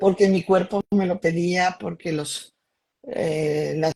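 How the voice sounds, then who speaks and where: This woman's pitch is fairly low. Her tone is dark and mellow. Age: 60s. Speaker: doctor and alternative therapist. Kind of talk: testimony.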